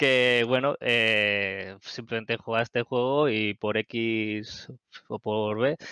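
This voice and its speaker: A man speaks at a very slow pace with fairly even intonation and a bright, sharp tone. The sound is dry with no echo, and the background is quiet. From Barcelona area, Spain; Spain. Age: 30s. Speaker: gamer and community moderator; gaming streamer. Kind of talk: casual interview; casual conversation. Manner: hesitant, many fillers. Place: home room. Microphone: headset.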